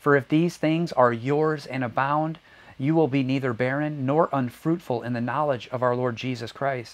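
A man's medium-pitched, warm voice with fairly even intonation at a moderate pace. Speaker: preacher. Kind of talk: sermon. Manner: earnest, warm, reflective preaching cadence. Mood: calm, earnest. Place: home room. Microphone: lapel.

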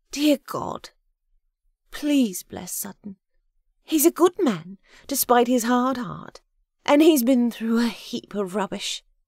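A woman uses a put-on character voice at a fairly high pitch with lively intonation, a slightly mellow tone and a slow pace. The recording is very clean with a silent background and a dry, close sound with no echo.

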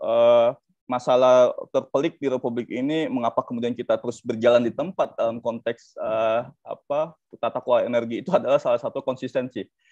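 A man at a fairly quick pace, against a quiet background, with a dry sound and no echo. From South Sumatra, Indonesia. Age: 30s. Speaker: energy law expert, lecturer; lecturer. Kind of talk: webinar panel presentation. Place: home room. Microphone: video call.

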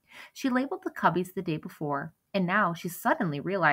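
The text is read aloud in a natural voice, with lively intonation. Nothing intrudes from the quiet background.

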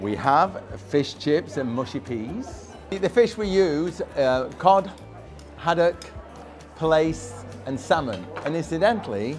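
Clear music plays in the background as a man speaks at a very slow pace. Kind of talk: interview answer. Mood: proud, friendly promotion. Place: cafe. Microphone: lapel.

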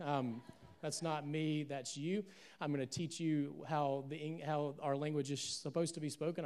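A speaker with a Southern US accent talks at a moderate pace. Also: man. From US South, Alabama. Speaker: pastor. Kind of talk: sermon. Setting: church, stage with audience, streamed live. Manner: animated. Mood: warm, joking. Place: church. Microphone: handheld.

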